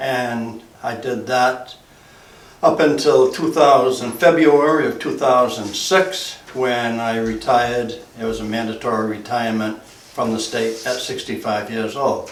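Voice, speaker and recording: Speaking at a fairly slow pace, a man with an American accent uses a medium pitch and ordinary pitch variation. The room echo is audible, and background noise is noticeable. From New England, Massachusetts (Essex County). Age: 80s+. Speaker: retired fire chief and builder. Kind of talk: oral history interview. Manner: halting, with frequent fillers.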